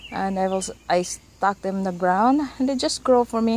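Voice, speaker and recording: A Filipino accent at a fairly slow pace, with ordinary pitch variation, a dry sound with no echo and light background noise. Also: woman. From Philippines. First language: Tagalog. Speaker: gardening vlogger. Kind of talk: casual garden tour; casual vlog chat, garden tour. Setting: outdoors on patio. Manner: casual with many fillers. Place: garden. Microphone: phone near.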